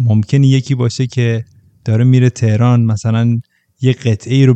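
A man with a dark, mellow tone speaks at a medium pitch and moderate pace. His delivery is flat and monotone, and the sound is dry and close with no echo. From provincial Iran. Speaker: podcast guest. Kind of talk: casual chat.

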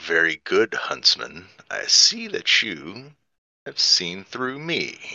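Very slowly, the man delivers his words in a put-on character voice. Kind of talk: formal, theatrical. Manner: polite, sly, sophisticated.

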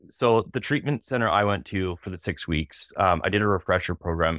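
In a very clean recording with a silent background, a man with a Canadian accent and a normal speaking voice talks at a moderate pace with ordinary pitch variation. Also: dry, close sound with no echo. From Canada, British Columbia (Kelowna). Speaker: tattoo artist. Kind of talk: casual interview.

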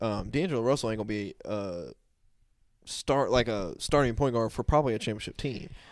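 On a very clean recording with a silent background, a man with a plain, everyday voice speaks at a fairly quick pace in a medium pitch with ordinary pitch variation. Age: 20s. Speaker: sports podcast co-host. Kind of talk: casual sports chat. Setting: live stream on YouTube.

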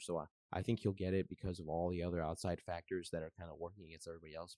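Very fast and very deep, a man with an American accent speaks in a dark, mellow tone, the sound dry and close with no echo. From US Midwest, Metro Detroit, Michigan. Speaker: basketball writer and podcaster. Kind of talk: casual chat. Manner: hesitant, frequent um and uh fillers.

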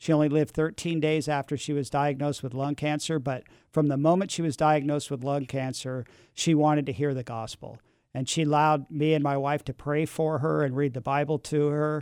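In an American accent, a man speaks at a fairly quick pace and a fairly high pitch. His intonation stays monotone and flat. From San Francisco, California. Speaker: former addict, mission worker. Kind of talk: testimony. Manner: halting.

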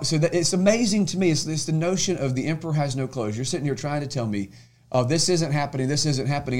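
A very fast, somewhat breathy man's voice at a fairly high pitch. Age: 30s. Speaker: state senator. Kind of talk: casual chat.

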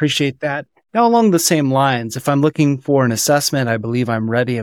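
With an unremarkable speaking voice, a man of medium pitch talks at a moderate pace with ordinary pitch variation, in a very clean recording that has a silent background and a dry, close sound with no echo. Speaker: podcast host. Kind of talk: casual interview.

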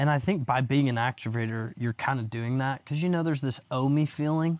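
A man's normal speaking voice at a medium pitch and moderate pace, dry and close with no echo, on a very clean recording with a silent background. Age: 20s. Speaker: real estate agent. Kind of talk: casual chat. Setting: outdoors.

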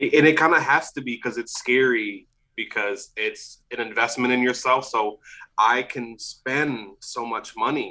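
Speaking at a medium pitch and a fairly slow pace, a man uses fairly even intonation with a bright, sharp tone. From US South, New Orleans. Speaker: vintage clothing seller. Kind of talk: casual chat.

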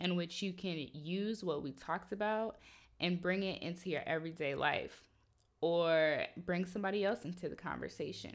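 Against a silent background in a very clean recording, a woman with a plain, everyday voice speaks fairly low, at a moderate pace with ordinary pitch variation. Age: 20s. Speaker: podcast host. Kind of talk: solo podcast monologue. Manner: casual.

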